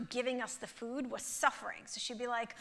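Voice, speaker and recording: Fairly quick, animated speech from a woman with a Russian accent, fairly high in pitch, in a bright, sharp tone. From Russia (former Soviet Union). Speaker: motivational speaker and author. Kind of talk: keynote talk. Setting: theatre stage with audience.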